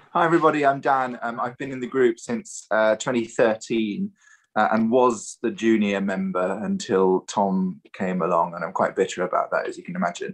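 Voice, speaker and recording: Over a quiet background, a man with a British accent talks at a moderate pace and medium pitch, with very wide pitch swings. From Germany (Munich), British parents. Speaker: choral singer. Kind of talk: casual introduction on video. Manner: hesitant, many fillers.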